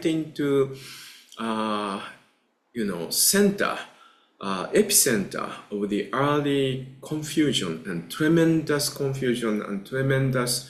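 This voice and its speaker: Spoken very slowly in a Japanese accent, the lively intonation carries audible room echo. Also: man. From Japan, Kamakura. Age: 60s. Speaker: Buddhist teacher. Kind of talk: lecture. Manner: halting, many filler uhs.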